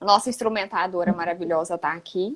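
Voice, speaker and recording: At a moderate pace, a woman talks with a Goiás accent. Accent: Goiás accent with strong retroflex R. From Goiás, Brazil. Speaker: physiotherapist. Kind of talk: casual chat. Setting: live stream.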